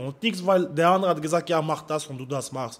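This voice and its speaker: A man talks at a fairly high pitch. His pitch variation is ordinary. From France, Paris suburbs. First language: French (speaking German). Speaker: amateur fighter. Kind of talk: interview.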